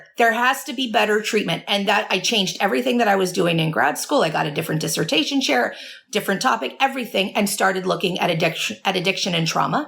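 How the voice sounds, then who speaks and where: A woman talks at a very fast pace with hardly any pauses. Noticeable background noise is present. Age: 40s. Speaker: addiction recovery therapist and author. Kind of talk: interview conversation. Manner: stutters when emotional; earnest.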